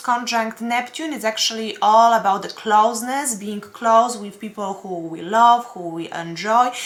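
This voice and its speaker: A woman with a non-native accent speaks at a fairly slow pace with hardly any pauses, ordinary pitch variation and big swings in loudness, over noticeable background noise. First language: not English. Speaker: astrologer and tarot reader. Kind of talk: weekly horoscope forecast. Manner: halting, many fillers.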